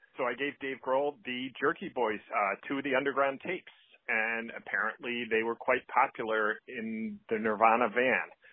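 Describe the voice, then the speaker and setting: This is a man with a normal speaking voice at a medium pitch. He talks at a moderate pace, with fairly even intonation. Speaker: record store owner. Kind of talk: voicemail message. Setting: phone call.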